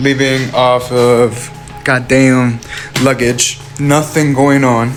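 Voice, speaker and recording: A man talks at a fairly high pitch. Noticeable background noise and audible room echo surround his voice. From Arizona. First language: not English. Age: 20s. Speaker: online business coach. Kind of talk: motivational vlog. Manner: animated.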